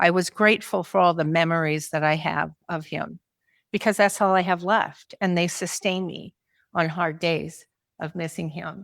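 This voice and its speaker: A woman's ordinary speaking voice, fairly low in pitch with fairly even intonation, at a moderate pace, in a very clean recording with a silent background. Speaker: marriage and family therapist, caregiver. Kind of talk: conference talk.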